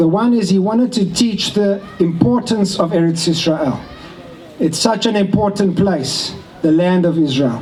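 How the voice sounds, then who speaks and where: Over noticeable background noise and audible room echo, a man with a South African accent speaks at a high pitch, keeping his loudness very even. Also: ordinary pitch variation, moderate pace. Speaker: family member giving a speech. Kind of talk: speech at a family ceremony. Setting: event with audience, relatives on video call.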